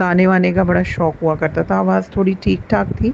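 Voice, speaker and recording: A woman speaks at a medium pitch. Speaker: teacher sharing devotional experience. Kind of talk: testimony. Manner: hesitant with fillers, Hindi-English code-switching.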